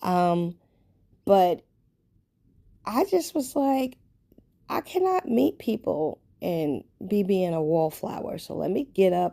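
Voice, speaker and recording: A woman with a New York accent speaks very slowly in a dark, mellow tone. Long, frequent pauses break up her speech. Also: medium pitch for a woman. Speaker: lifestyle vlogger. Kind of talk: casual personal vlog monologue. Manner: conversational, filler-heavy.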